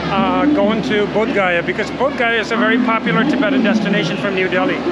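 Loud background noise accompanies a man speaking at a fairly quick pace. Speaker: travel vlogger. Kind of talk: casual vlog chat. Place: station. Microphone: lapel.

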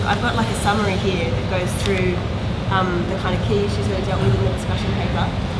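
A woman talking very fast over loud background noise. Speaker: discussion facilitator. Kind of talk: group discussion facilitation. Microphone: camera far.

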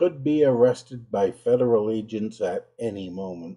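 A man with a dark, mellow tone speaks at a very slow pace with lively intonation. The background is quiet. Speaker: religion critic commentator. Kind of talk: commentary. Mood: indignant, sarcastic. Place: home room.

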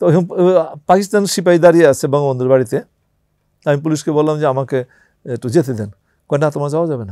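A man's dark, mellow tone with ordinary pitch variation, dry with no echo, over a quiet background. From Bangladesh. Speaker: war veteran. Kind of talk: interview testimony. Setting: studio. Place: studio. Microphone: lapel.

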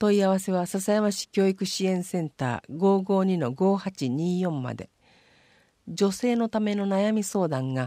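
A dark, mellow tone with ordinary pitch variation, dry and close with no echo, on a very clean recording over a silent background. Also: woman. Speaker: municipal newsletter reader. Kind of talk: reading aloud.

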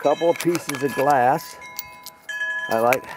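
The sound is dry with no echo, with noticeable background noise, and the speech moves at a fairly slow pace. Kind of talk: casual vlog chat. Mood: pleased, enthusiastic. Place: open country. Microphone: phone near.

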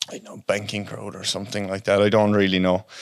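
A man talks at a fairly quick pace with a fairly low pitch and a Cork accent. The sound is dry with no echo, and the background is quiet. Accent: Irish, Cork. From Ireland (West Cork). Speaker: welder and subcontractor. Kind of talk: casual chat. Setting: studio with microphones. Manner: animated, heavy swearing. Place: studio. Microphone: studio mic.

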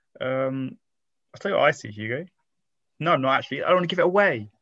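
Over a quiet background, a man talks very fast with lively intonation. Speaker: quiz co-host. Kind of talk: casual chat. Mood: light joking banter. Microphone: video call.

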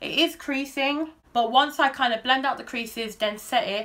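At a moderate pace, a woman talks with a bright, sharp tone. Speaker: beauty YouTuber. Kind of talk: makeup tutorial. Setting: filming at home on camera. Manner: casual, chatty. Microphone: phone near.

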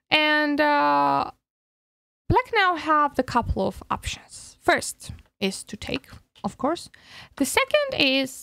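A woman's high-pitched voice with lively intonation at a very slow pace, dry with no echo against a quiet background. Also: long, frequent pauses. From Georgia (country). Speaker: chess coach. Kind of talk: tutorial. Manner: hesitant, many fillers. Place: home room. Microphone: studio mic.

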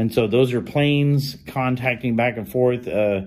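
The man talks at a fairly slow pace, keeping his intonation fairly even. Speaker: radio hobbyist. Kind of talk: casual vlog chat. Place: home room. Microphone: phone near.

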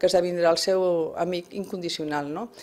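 With a Spanish accent, a woman speaks using ordinary pitch variation. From Barcelona (Sant Andreu), Catalonia; Catalonia, Spain. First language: Spanish (speaking Catalan). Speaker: first-time novelist, retired bank worker; interviewee. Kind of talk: radio interview. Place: studio. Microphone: studio mic.

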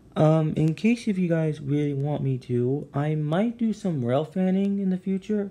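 A loud man's voice with a dark, mellow tone, fairly high pitch, lively intonation, a moderate pace and hardly any pauses. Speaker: gaming YouTuber. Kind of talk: casual gameplay commentary. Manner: halting, many fillers; trying to speak loudly.

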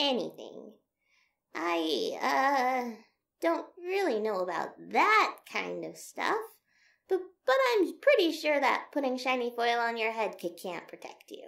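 A female-sounding put-on character voice, pitched high, swings very widely in pitch at a fairly slow pace. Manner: nervous, hesitant.

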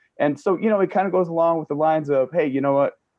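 Over a quiet background, a man with an American accent talks with ordinary pitch variation. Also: dry sound with no echo. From US Southwest, Navajo and Ute; US Southwest. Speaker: panel guest; guest. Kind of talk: panel discussion. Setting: video call. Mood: earnest, reflective. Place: home room. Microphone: video call.

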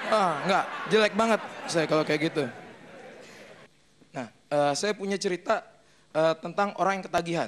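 A man with a high-pitched, fairly bright voice speaks with long, frequent pauses. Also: ordinary pitch variation, moderate pace.

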